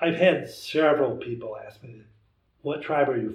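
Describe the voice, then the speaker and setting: In an American accent, a man speaks at a fairly slow pace with ordinary pitch variation. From US Midwest, Wisconsin. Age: 60s. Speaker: traditional bowhunter. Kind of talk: casual chat.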